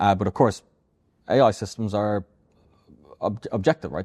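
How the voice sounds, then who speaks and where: In an Irish accent, a man with a fairly low pitch and a dark, mellow tone talks at a fairly quick pace with ordinary pitch variation, in a dry, close sound with no echo and a quiet background. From Ireland. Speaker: AI robotics expert and company founder. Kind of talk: podcast interview. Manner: repeats words often.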